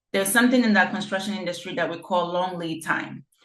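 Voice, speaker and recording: A woman speaks at a medium pitch with ordinary pitch variation, with audible room echo. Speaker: real estate developer presenting a project. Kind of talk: online info session presentation.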